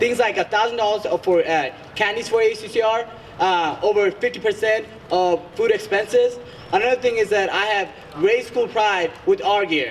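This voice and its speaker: A man speaks high in pitch, with ordinary pitch variation, at a moderate pace as noticeable background noise plays. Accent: Bengali. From Bangladesh. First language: Bengali. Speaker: student election candidate. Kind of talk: debate. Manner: hesitant, many fillers.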